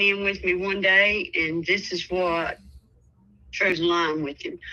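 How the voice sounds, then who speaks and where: A woman at a medium pitch, speaking at a very slow pace with fairly even intonation over music in the background. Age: 70s. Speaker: caller. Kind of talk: phone-in consultation.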